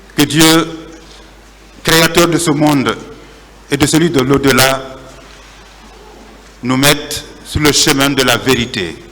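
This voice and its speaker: A man with a fairly high pitch talks at a very slow pace with fairly even intonation, very even loudness and long, frequent pauses. Audible room echo and noticeable background noise are present. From Guinea, Labé. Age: 60s. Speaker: journalist testifying at trial. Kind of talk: court testimony. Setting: courtroom. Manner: formal.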